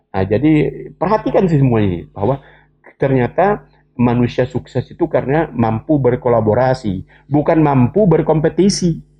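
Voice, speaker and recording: The voice is somewhat breathy, with lively intonation. Its loudness stays very even. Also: man, medium pitch for a man, moderate pace. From West Kalimantan, Indonesia (Sambas regency). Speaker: education expert. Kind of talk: interview.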